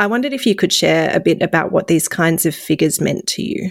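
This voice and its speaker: A woman with an Australian accent, fairly low pitch and ordinary pitch variation. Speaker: podcast host. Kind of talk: scripted narration; interview.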